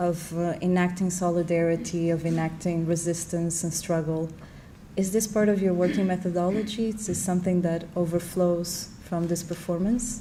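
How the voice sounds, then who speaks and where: Her voice is fairly low for a woman, somewhat breathy and dark and mellow in tone, with monotone, flat intonation at a moderate pace and audible room echo. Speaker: moderator. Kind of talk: panel conversation.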